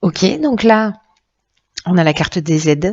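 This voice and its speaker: With ordinary pitch movement, a woman speaks in a mid-range voice. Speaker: tarot reader. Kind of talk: tarot reading. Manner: halting, many fillers.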